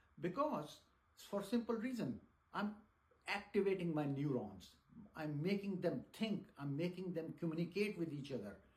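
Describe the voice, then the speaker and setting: A man with a high voice and lively intonation talks at a moderate pace with long, frequent pauses, amid audible room echo. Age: 60s. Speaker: teacher. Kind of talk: lecture. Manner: halting.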